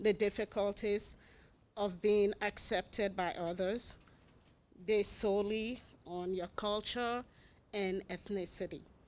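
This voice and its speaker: A woman with an African accent, medium pitch and monotone, flat intonation at a fairly slow pace, in a very clean recording over a silent background. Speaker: public commenter at school board meeting. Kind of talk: public comment speech. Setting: school board meeting.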